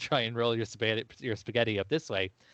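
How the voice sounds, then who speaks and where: A man with an Irish accent, medium pitch, and a very fast pace. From Ireland. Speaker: podcast host. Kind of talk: casual chat.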